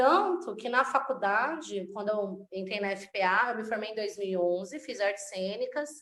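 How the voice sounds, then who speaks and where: A woman speaks at a moderate pace in an ordinary speaking voice. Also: fairly high pitch for a woman, lively intonation. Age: 30s. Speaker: actress and slam poet. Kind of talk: interview conversation.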